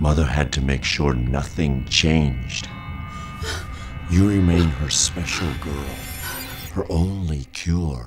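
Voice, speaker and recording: A man puts on a character voice with a very deep, low pitch. He goes at a fairly slow pace over faint background music. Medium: audio drama. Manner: calm, cryptic, ominous.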